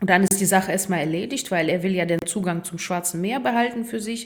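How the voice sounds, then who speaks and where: A woman with a medium pitch and ordinary pitch variation speaks against noticeable background noise. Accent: Russian. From Ukraine, Kharkiv. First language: Russian (speaking German). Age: 30s. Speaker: football groundhopper. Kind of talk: casual interview.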